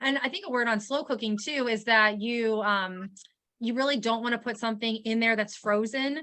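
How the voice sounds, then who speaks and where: Against a quiet background, a woman speaks at a fairly high pitch with ordinary pitch variation and a bright, sharp tone. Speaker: dietitian. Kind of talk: webinar Q&A. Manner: fast.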